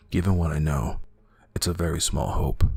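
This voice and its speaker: Over music in the background, a man talks at a moderate pace in a very deep, low voice with monotone, flat intonation. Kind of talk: horror story narration.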